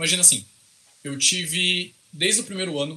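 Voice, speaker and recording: At a moderate pace and with ordinary pitch variation, the speech sits over noticeable background noise. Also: man. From interior of São Paulo state, Brazil. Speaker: computer scientist and researcher. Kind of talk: casual interview.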